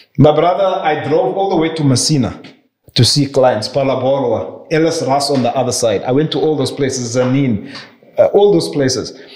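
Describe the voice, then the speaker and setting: In a room with audible echo, a man with a fairly high pitch talks at a moderate pace with ordinary pitch variation. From South Africa. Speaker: property investor and banker; podcast guest. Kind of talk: interview conversation. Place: office.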